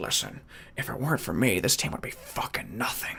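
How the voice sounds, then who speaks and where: Whispering in a put-on character voice, a man goes at a fairly quick pace against clear background noise. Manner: overly cocky, boastful.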